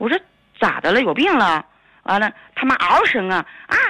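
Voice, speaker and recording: A woman's fairly high voice with very wide pitch swings, at a fairly quick pace over a quiet background. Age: 40s. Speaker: caller. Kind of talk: phone-in call. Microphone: too quiet.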